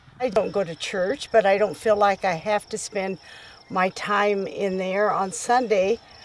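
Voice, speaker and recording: Over noticeable background noise, a woman with a medium pitch talks at a very slow pace. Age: 80s+. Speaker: bird watcher. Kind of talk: documentary interview answer.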